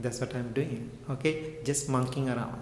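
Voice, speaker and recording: A man is speaking with noticeable background noise. Room echo is audible. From Sri Lanka. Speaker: Buddhist monk and meditation teacher. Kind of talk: talk to an audience.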